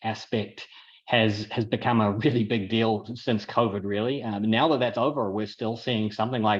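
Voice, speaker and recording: In a New Zealand accent, a man talks at a moderate pace with a medium-pitched voice. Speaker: apartment investor and tech entrepreneur. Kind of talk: webinar presentation.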